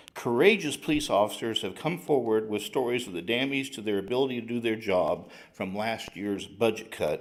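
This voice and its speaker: A man's voice carries audible room echo as he talks at a moderate pace. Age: 60s. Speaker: retired chemical engineer, public commenter. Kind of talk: public comment at city council. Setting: council chambers. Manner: reading prepared statement.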